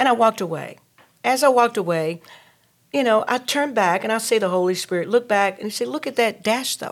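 At a fairly quick pace, a woman speaks in a Southern US accent. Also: fairly high pitch for a woman, lively intonation, very clean recording, silent background. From North Carolina. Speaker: entrepreneur and talk show host. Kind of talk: interview. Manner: hesitant, many fillers.

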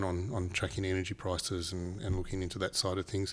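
A very fast, monotone, flat delivery from a man with a very deep, low pitch and an Australian accent. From Papua New Guinea. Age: 40s. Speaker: renewable energy businessman. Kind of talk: casual interview chat.

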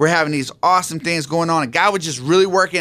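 Here is a man with an American accent. His tone is bright and sharp. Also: very clean recording, silent background. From San Diego, California. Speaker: pastor. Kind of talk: radio interview, personal testimony. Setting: radio studio.

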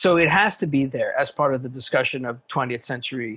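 A man with a Quebec accent at a moderate pace. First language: French. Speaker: English professor. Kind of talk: interview. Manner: halting, many fillers.

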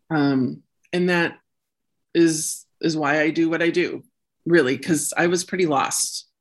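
In an Upper Midwest accent, the speech runs at a fairly slow pace with long, frequent pauses, fairly even intonation and very even loudness. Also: woman, fairly low pitch for a woman. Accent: Upper Midwest American. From US Midwest (Illinois, Wisconsin). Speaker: career coach. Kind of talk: interview.

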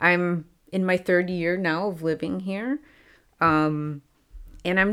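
A woman with a Midwestern American accent, medium in pitch, at a very slow pace. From US Midwest, Chicago. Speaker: former English teacher, language learner. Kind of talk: interview, casual chat. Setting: studio.

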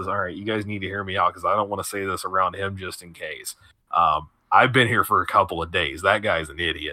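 A put-on character voice from a man, raspy and fairly low-pitched, at a fairly quick pace with big swings in loudness. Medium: actual play. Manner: casual, hesitant, stammering.

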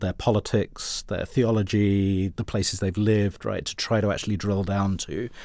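Fairly low in pitch, a man speaks with a British accent and fairly even intonation. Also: very clean recording, silent background. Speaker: education professor. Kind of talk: interview.

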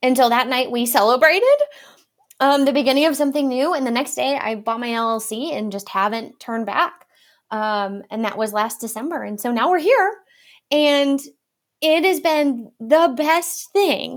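A woman with an Upper Midwest accent speaks at a moderate pace in a high voice. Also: very clean recording, silent background. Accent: Upper Midwest American. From Wisconsin. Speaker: marketing firm owner. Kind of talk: casual chat.

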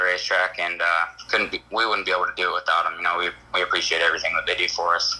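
Over noticeable background noise, a man speaks very fast at a very even loudness. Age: 20s. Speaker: sprint car racer. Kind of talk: casual interview.

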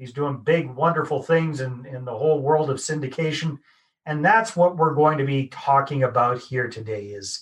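Somewhat breathy, this man has a fairly high pitch with ordinary pitch variation. He talks at a moderate pace, and his loudness swings widely. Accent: Canadian. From Canada. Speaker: podcast host. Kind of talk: podcast interview.

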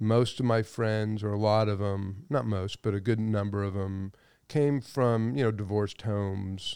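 A man with a Californian accent speaks at a fairly low pitch with fairly even intonation, in a very clean recording with a silent background. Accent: Californian American. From Los Angeles, San Fernando Valley. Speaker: business executive. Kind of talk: interview. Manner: halting.

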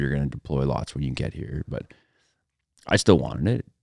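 The speech comes at a very fast pace. The sound is dry and close, without echo. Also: man. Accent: western Canadian. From Alberta, Canada (rural Métis settlement). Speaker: retired special operations sniper and country musician. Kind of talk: casual interview chat.

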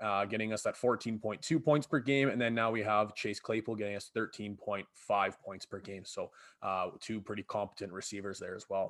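Speaking at a moderate pace with fairly even intonation, a man with a Canadian Prairie accent has a fairly low pitch, captured in a very clean recording with a silent background. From Saskatchewan, Canada (Battleford). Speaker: podcast host, teacher. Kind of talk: casual chat.

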